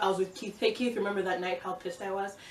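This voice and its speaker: Over noticeable background noise, a woman speaks in an animated tone at a medium pitch. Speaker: vlogger. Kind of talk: casual vlog monologue. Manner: fast.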